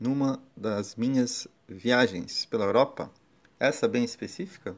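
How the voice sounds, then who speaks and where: A man with a normal speaking voice talks fairly slowly at a medium pitch. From Brazil, Guarujá area (São Paulo coast). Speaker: podcast host. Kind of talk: personal storytelling monologue. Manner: warm, reflective.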